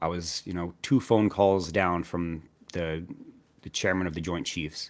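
A man speaks in a very deep, low voice with an American accent. The recording is very clean, with a silent background. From New Jersey. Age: 30s. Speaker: army veteran and finance YouTuber. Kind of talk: casual interview chat.

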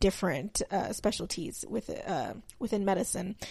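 A woman's dark, mellow tone comes through at a moderate pace on a very clean recording with a silent background. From Texas. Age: 20s. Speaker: podcast host. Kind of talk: solo podcast introduction, casual talk. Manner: talkative, rambling with tangents.

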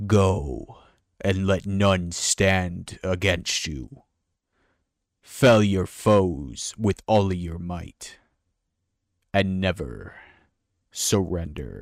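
A man puts on a booming character voice with a very deep, low pitch. He speaks very slowly, with long, frequent pauses. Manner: terrifying, imposing.

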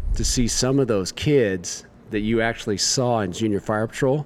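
This man speaks with a Midwestern American accent. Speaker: firefighter. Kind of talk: casual interview.

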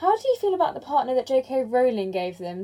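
This woman's voice sits high in pitch. Her tone is dark and mellow. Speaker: podcast host. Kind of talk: interview podcast. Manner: casual.

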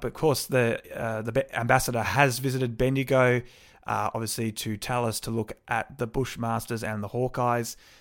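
The man's medium-pitched voice keeps a fairly even intonation at a moderate pace, recorded very clean with a silent background. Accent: Australian. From Melbourne, Australia. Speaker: local councillor and podcast host. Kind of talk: solo podcast monologue. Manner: casual, with frequent fillers.

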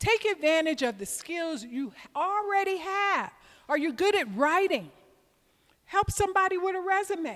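Speaking with an American accent, a woman uses an extremely high pitch and lively intonation. Her pace is moderate. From US South (Georgia). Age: 60s. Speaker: sales trainer, retired tech saleswoman. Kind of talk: lecture. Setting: stage with audience.

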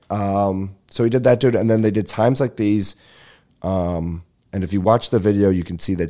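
At a moderate pace, a man with a dark, mellow tone and fairly low pitch speaks in a very clean recording with a silent background. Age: 20s. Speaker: podcast host. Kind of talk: casual chat. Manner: animated.

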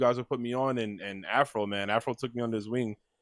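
A man with an American accent speaks at a medium pitch, the sound dry and close with no echo in a very clean recording over a silent background. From US Northeast, Brooklyn New York. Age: 20s. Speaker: fighting game player and commentator. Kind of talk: casual chat.

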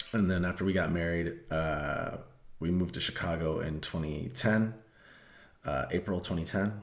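With audible room echo, a man with a very deep, low pitch and ordinary pitch variation speaks at a fairly slow pace. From Colorado (Denver area). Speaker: podcast co-host. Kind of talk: casual chat.

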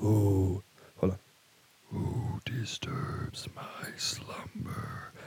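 Someone whispers in a put-on character voice. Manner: menacing, resonant.

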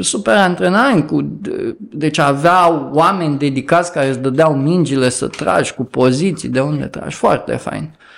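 A man with an unremarkable speaking voice has a fairly high pitch and ordinary pitch variation, talking at a moderate pace. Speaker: activist. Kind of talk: casual chat.

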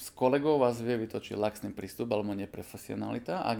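Rattling along at a very fast pace, a man uses a medium-pitched voice with a dark, mellow tone, some vocal fry and ordinary pitch variation. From eastern Slovakia, Košice. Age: 40s. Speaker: dentist. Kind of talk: interview.

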